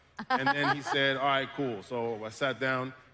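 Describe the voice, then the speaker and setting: Amid noticeable background noise, a man talks at a moderate pace with a medium pitch and monotone, flat intonation. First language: French. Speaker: voice actor. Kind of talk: panel discussion.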